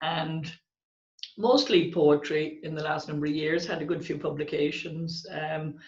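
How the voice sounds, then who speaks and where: In a Dublin accent, a woman speaks at a fairly slow pace with a very deep, low pitch, a somewhat breathy voice and fairly even intonation, with audible room echo. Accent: Irish (Dublin). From Ireland, Dublin. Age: 60s. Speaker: poet and writer. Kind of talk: interview.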